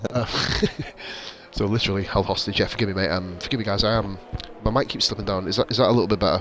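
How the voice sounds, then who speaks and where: A soft-spoken man with a British accent talks very fast at a fairly low pitch, with fairly even intonation. Long, frequent pauses break up his speech over noticeable background noise. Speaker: sim racing league commentator. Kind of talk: live commentary. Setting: home stream, baby asleep.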